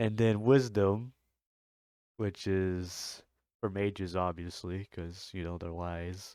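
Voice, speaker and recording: On a very clean recording with a silent background, a man with a very deep, low pitch talks at a very slow pace, with fairly even intonation, big swings in loudness and long, frequent pauses. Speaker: gaming youtuber. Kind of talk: tutorial. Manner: stuttering, halting; rambling, casual.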